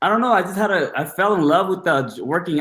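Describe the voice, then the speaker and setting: Intonation is lively here. The man speaks at a fairly quick pace. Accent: slight Bangladeshi. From Bangladesh. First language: Bengali. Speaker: personal trainer. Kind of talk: casual interview.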